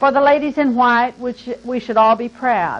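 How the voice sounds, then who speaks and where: A woman talks at a moderate pace, her pitch fairly high. She has an unremarkable speaking voice. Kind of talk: poetry reading tribute. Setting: recorded interview.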